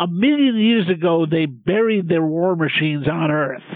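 The speech moves at a fairly slow pace with ordinary pitch variation, while noticeable background noise sits behind it. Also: man. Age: 70s. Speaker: professor and pop culture critic. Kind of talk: casual chat.

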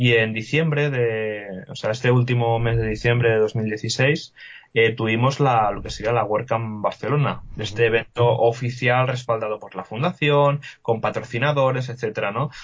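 Barely pausing, a man speaks in a somewhat breathy voice. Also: medium pitch for a man, fairly even intonation, moderate pace. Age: 20s. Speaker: WordPress developer and podcaster. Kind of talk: casual interview.

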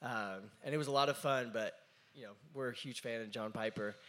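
A man talks very fast, his intonation staying fairly even. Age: 20s. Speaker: drummer and worship leader. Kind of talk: interview. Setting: stage with audience.

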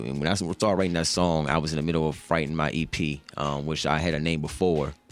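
A man with a very deep, low pitch talks at a fairly quick pace with fairly even intonation. Music plays in the background. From Charlottesville, Virginia. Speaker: hip hop artist. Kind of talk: radio interview. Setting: radio studio. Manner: casual, many fillers.

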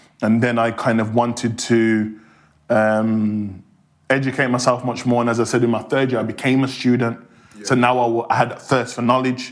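With a Birmingham accent, a man speaks at a medium pitch. His intonation is monotone and flat. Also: moderate pace. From Birmingham, England. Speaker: criminologist and university lecturer. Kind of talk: interview.

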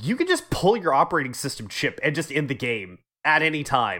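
Fairly quick in pace, a man speaks in a bright, sharp tone. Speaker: gaming podcast host. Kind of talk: casual chat. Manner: profane.

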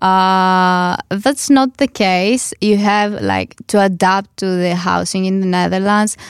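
In a very clean recording with a silent background, a woman speaks at a very slow pace with hardly any pauses, a medium pitch and a Greek accent. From Greece. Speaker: international student. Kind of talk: panel discussion. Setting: studio.

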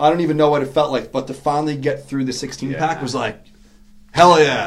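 A man with a New York accent speaks at a fairly high pitch with fairly even intonation. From New York City (Queens). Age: 40s. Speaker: BMX rider and business owner. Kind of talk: casual chat.

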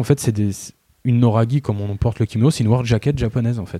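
Very fast and somewhat breathy, a man speaks with a dark, mellow tone, the recording very clean with a silent background and a dry, close sound without echo. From provincial France. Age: 30s. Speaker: fashion blogger. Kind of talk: casual interview chat.

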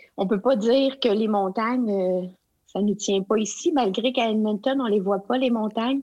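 Her voice has a dark, mellow tone and a fairly high pitch, and the woman speaks at a fairly slow pace with ordinary pitch variation. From Quebec (Abitibi, Outaouais). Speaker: education consultant. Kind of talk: interview. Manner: halting.

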